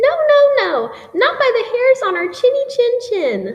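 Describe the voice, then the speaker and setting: A woman's squeaky, put-on character voice, extremely high in pitch, at a fairly slow pace. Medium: read story.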